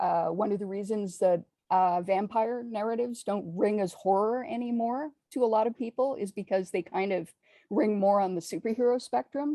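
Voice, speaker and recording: A woman at medium pitch with a dark, mellow tone, ordinary pitch variation and a moderate pace, recorded dry and close with no echo. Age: 50s. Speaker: horror author. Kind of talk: casual chat. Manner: halting, many fillers.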